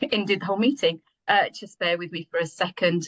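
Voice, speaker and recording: Speaking at a very fast pace, a woman with a medium pitch and lively intonation sounds somewhat breathy in a dry, close recording with no echo. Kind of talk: presentation. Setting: video call.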